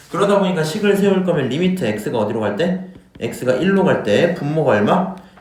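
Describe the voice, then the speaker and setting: Amid noticeable background noise and audible room echo, a man with a fairly high pitch swings very widely in pitch. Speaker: math teacher. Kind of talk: lecture.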